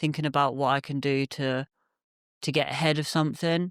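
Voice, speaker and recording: With an English accent, a man talks in a fairly high voice and a monotone, flat delivery, and the sound is dry and close with no echo. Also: very clean recording, silent background. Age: 20s. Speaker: youth worker and photographer. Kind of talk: podcast interview. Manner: hesitant, many fillers.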